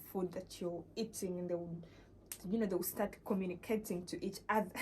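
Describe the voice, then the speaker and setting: A woman speaks at a medium pitch and a moderate pace, her tone dark and mellow with vocal fry. Her intonation is monotone and flat. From Uganda. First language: not English. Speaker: vlogger. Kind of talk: casual vlog talk. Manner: halting, many fillers.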